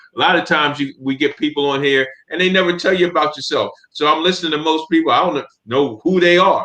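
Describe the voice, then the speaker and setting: Fairly high in pitch, a man speaks at a very fast pace. His intonation stays fairly even and his loudness very even. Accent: American. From US Northeast, Camden New Jersey. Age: 60s. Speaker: podcast co-host. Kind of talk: casual discussion.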